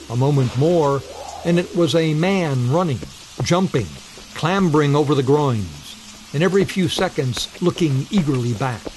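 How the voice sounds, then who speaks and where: Against noticeable background noise, a man with fairly high pitch speaks at a moderate pace with ordinary pitch variation. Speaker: narrator of ghost stories. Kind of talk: ghost story narration, classic literary horror reading.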